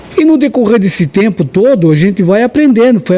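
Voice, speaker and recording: Over noticeable background noise, a man speaks at a fairly quick pace. His voice is high-pitched and swings very widely in pitch. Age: 60s. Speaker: religious podcast guest. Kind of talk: podcast interview.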